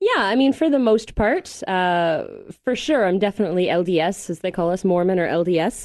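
This woman has a plain, everyday voice with a Canadian accent, medium pitch and lively intonation. She talks at a fairly quick pace over a quiet background. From Canada, Mississauga near Toronto. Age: 30s. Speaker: podcast guest. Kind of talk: casual interview. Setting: studio.

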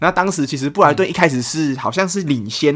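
Lively intonation marks the man's very fast speech. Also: very clean recording, silent background. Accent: Taiwanese. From Taiwan, Kaohsiung. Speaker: football podcast co-host. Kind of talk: casual chat.

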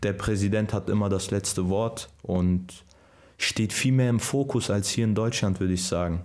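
A normal speaking voice keeps a moderate pace and fairly even intonation. Its loudness stays very even. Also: man, fairly low pitch for a man. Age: 20s. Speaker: professional footballer. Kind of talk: casual interview.

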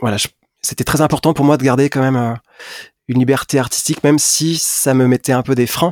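Recorded very cleanly against a silent background with a dry, close sound and no echo, a man talks at a moderate pace with fairly even intonation. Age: 40s. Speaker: singer-songwriter. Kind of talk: interview. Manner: hesitant.

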